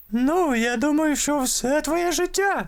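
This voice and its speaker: A put-on character voice with a high pitch. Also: fairly slow pace. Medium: fan dub.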